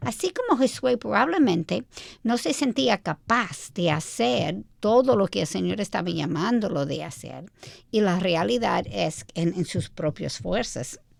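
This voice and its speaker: A woman with an American accent and a fairly low pitch speaks at a fairly slow pace with vocal fry and very wide pitch swings, in a very clean recording with a silent background. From United States. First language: English (speaking Spanish). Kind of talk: radio Bible teaching chat.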